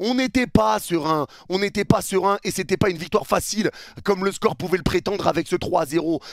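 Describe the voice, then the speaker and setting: Against a quiet background, a man sounds furious as he speaks at a moderate pace, the sound dry with no echo. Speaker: football youtuber and match commentator. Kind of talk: angry rant, post-match video debrief. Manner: furious, heated, venting; emphatic, repetitive, insistent. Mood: frustrated, angry, disappointed. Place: home room. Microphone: headset.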